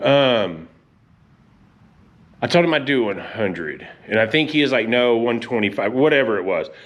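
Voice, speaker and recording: With audible room echo, a man of medium pitch speaks at a moderate pace and with lively intonation, leaving long, frequent pauses. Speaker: car hobbyist vlogger. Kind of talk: casual vlog talk. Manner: loud, yelling.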